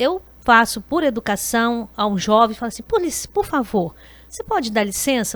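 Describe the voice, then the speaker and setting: A woman speaks in an ordinary speaking voice at a fairly high pitch and a fairly slow pace. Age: 60s. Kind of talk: podcast interview.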